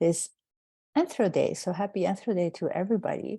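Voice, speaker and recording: Against a quiet background, a woman with a non-native accent speaks in a dark, mellow tone. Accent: foreign. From outside the United States. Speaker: anthropology professor. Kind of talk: panel opening remarks.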